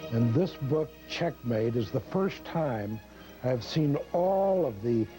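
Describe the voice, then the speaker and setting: Music plays behind a man speaking at a very slow pace in a medium pitch, his voice making very wide pitch swings. His loudness stays very even throughout. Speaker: guest endorsing the book. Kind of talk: endorsement testimonial.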